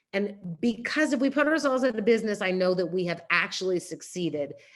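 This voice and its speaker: A woman with a New York accent and lively intonation, against a quiet background. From New York City. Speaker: nonprofit CEO. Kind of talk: talk. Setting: video call. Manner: fast.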